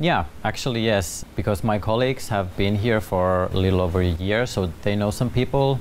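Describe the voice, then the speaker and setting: A man with a Finnish accent at a fairly low pitch, moderate pace and very even loudness, with ordinary pitch variation, hardly any pauses and noticeable background noise. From Finland. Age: 30s. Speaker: expat office worker. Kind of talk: talk show interview.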